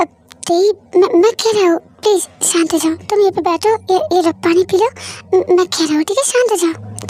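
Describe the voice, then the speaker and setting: A woman puts on a character voice pitched extremely high. She talks very fast, and the sound is dry and close with no echo. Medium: read story. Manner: pleading, stammering.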